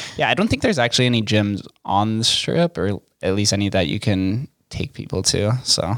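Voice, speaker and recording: This is a man with a normal speaking voice and a fairly low pitch. He talks at a fairly quick pace with ordinary pitch variation. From Las Vegas, US. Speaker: podcast host. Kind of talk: interview. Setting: studio.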